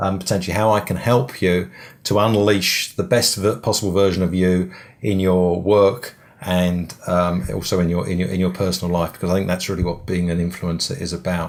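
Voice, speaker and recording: A man with an English accent speaks in a very deep, low voice. His intonation is fairly even and his pace fairly quick. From England. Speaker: business coach. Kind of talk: webinar presentation. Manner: halting, many fillers.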